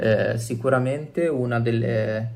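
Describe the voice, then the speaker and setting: A man with a medium pitch speaks at a very slow pace, with audible room echo and noticeable background noise in the recording. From Italy, Genoa (Liguria). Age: 20s. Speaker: illustrator and cartoonist. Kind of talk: interview.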